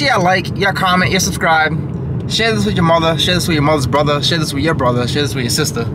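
Loud background noise surrounds a man talking at a very fast pace. His pitch varies in an ordinary way. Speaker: vlogger husband. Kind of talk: casual vlog chat. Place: car. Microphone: phone near.

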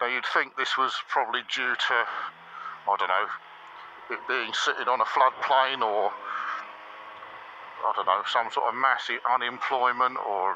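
The voice moves at a moderate pace with fairly even intonation and long, frequent pauses. The sound is dry with no echo, over light background noise. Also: man. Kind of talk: casual ride commentary. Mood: dry joking. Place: motorbike. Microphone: helmet.

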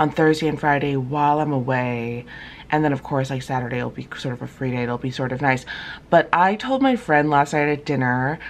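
At a fairly quick pace, a woman talks in a very deep, low pitch. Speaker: travel vlogger. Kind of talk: casual vlog chat. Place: home room. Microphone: phone near.

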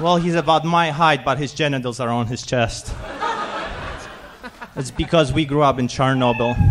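A man talks with long, frequent pauses amid noticeable background noise. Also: moderate pace. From Poland. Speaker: amateur stand-up comedian. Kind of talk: stand-up comedy set. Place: stage. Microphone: handheld.

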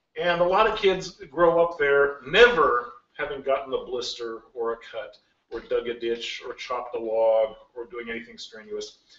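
At a moderate pace, a man speaks with audible room echo. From Alaska (rural bush). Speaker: games industry executive; guest lecturer. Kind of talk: lecture. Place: classroom. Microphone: camera far.

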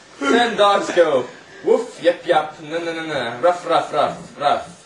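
At a very slow pace and with ordinary pitch variation, the voice carries audible room echo over light background noise. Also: man, high pitch for a man. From Italy. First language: Italian. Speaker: family member reading to a toddler. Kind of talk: reading a children's picture book aloud. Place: home room. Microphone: old recording.

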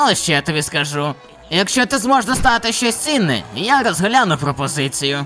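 A man uses a put-on character voice with a high pitch and very wide pitch swings. He talks at a fairly quick pace over clear background noise. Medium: fan dub. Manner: curt, gruff.

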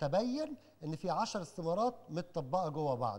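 The man speaking shows very wide pitch swings. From Egypt. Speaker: lecturer on elections. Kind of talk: lecture. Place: hall. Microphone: handheld.

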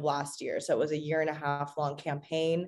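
This is a woman speaking. She has an American accent. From Arizona, US. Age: young. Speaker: city council member. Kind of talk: talk. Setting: video call. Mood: friendly, engaged. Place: office. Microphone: video call.

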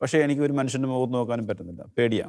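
A man at medium pitch against a quiet background. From Kerala, India. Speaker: lay preacher. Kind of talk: testimony. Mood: warm, smiling, reflective. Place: studio. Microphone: lapel.

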